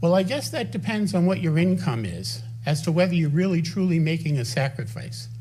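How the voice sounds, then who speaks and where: Room echo can be heard as a man speaks at a fairly high pitch with lively intonation. His pace is fairly quick. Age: 70s. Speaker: resident speaking at town council. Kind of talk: public comment at council meeting. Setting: town council meeting. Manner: animated.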